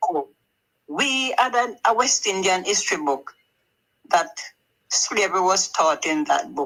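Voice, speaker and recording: At a fairly slow pace and medium pitch, a woman speaks with very wide pitch swings and long, frequent pauses. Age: 80s+. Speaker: elderly viewer calling in. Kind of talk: casual chat.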